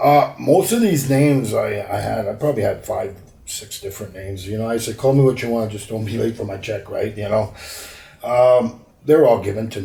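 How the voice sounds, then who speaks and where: A man's somewhat breathy, dark, mellow voice sits at a medium pitch with ordinary pitch variation. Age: 50s. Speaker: former pro wrestler. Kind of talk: interview. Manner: halting.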